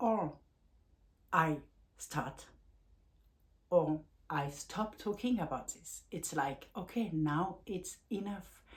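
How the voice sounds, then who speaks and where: A woman with a strong French accent speaks very slowly at a fairly low pitch, her voice somewhat breathy, her intonation lively, and her speech broken by long, frequent pauses. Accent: French accent, self-described as strong. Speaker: life coach and vlogger. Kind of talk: personal vlog talk. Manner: halting, with frequent fillers and restarts.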